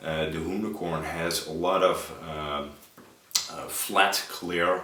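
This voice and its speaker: A man's very deep, low voice at a very slow pace, with fairly even intonation, audible room echo and noticeable background noise. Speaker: RC model builder. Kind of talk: tutorial. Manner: hesitant, many filler uhs.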